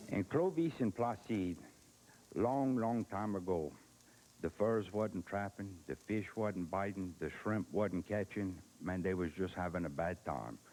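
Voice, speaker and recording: The voice belongs to a man and sounds dark and mellow. He speaks at a fairly slow pace. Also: ordinary pitch variation. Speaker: humorist, storyteller. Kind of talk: comic storytelling. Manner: high-energy.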